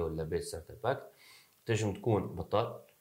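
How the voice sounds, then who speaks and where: Somewhat breathy, a man speaks at a fairly quick pace. His pitch moves in an ordinary way. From Tunisia. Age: 20s. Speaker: startup co-founder. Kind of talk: interview.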